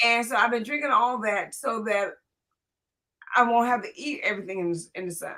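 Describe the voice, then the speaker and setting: Speaking at a fairly quick pace with long, frequent pauses, a woman uses a fairly high, bright, sharp voice with ordinary pitch variation. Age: 70s. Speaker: podcast host. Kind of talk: casual interview.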